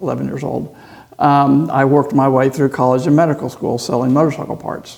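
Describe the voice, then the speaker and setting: A man's plain, everyday voice with an American accent, medium pitch, moderate pace and fairly even intonation. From Texas, Houston. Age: 60s. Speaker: surgeon and motorcycle racer. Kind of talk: podcast interview. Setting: racetrack.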